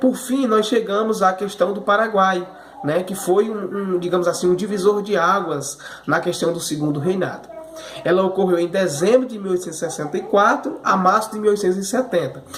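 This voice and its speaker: At a fairly quick pace, a man with a high pitch and ordinary pitch variation talks amid noticeable background noise and audible room echo. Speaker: history teacher. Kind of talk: remote class lecture review. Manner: repetitive fillers, stammering repeats.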